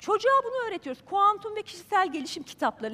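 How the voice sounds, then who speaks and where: A woman speaks at a very fast pace in a raised, projected voice. Her tone is animated, with very wide pitch swings. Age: 50s. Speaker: journalist. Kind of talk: talk to a live audience. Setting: stage with audience.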